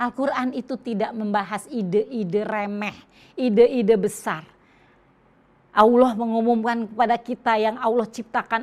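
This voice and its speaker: Speaking with fairly even intonation, a woman has an ordinary speaking voice set at a fairly high pitch. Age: 60s. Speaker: Islamic women's speaker. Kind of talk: religious lecture.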